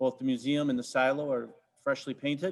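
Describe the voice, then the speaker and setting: A man speaks with a fairly high pitch for a man. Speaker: park district staff reporting to board. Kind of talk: board meeting report. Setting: video conference meeting. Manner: fast.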